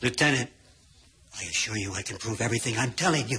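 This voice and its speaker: A man puts on a character voice at a medium pitch. He talks at a very fast pace. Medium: short film. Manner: formal, calm, deadpan.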